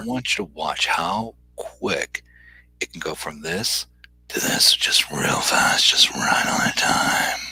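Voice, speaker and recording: Over noticeable background noise, a man whispers at a very slow pace with big swings in loudness. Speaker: podcast guest.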